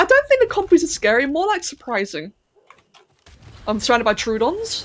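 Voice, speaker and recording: Her pitch swings very widely. The woman keeps a fairly quick pace. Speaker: game streamer. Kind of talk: live gameplay stream commentary. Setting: live stream. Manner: slightly slurred speech.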